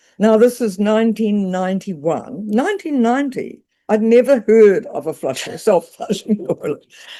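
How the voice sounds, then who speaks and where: A woman with a dark, mellow tone speaks at a fairly high pitch with lively intonation. Her moderate pace has hardly any pauses, and the background is quiet. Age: 80s+. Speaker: storyteller, author, adventurer. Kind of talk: interview answer.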